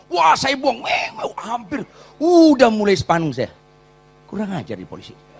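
Against noticeable background noise, a man with a high pitch speaks at a moderate pace in an animated tone, with very wide pitch swings and big swings in loudness. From Batak, North Sumatra, Indonesia. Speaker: pastor. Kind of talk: sermon. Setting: church.

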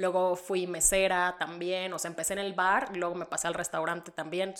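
This woman's pitch is fairly low. She talks with monotone, flat intonation. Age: 30s. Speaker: podcast co-host. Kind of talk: casual chat.

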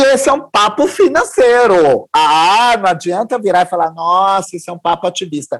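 A man talks with very wide pitch swings. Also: very clean recording, silent background. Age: 50s. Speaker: anthropology professor and diversity consultant. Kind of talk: podcast interview.

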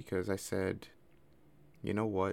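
This man has an unremarkable speaking voice at a fairly low pitch. He speaks at a moderate pace with fairly even intonation. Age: 20s. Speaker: podcast host. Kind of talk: personal monologue. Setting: recording alone at night.

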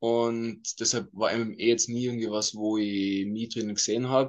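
With monotone, flat intonation, a man talks at a moderate pace and a medium pitch. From Austria, Tyrol (Innsbruck). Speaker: MMA fighter. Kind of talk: interview.

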